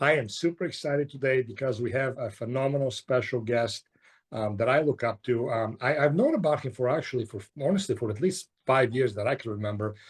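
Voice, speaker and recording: A somewhat breathy man's voice at a medium pitch, fairly quick, with ordinary pitch variation. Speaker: naturopath, podcast host. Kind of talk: interview host, casual conversation. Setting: remote call.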